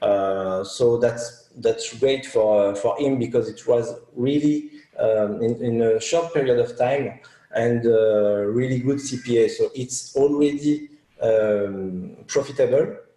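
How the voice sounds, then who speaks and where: A man speaks at a very slow pace in a French accent, with medium pitch and ordinary pitch variation. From France. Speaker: media buyer. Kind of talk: interview. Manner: halting, many fillers.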